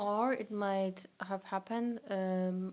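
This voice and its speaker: A woman speaks at a medium pitch with a Polish accent. Her intonation stays fairly even against a quiet background. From Poland. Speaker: teacher. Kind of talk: casual interview chat. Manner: halting, many fillers.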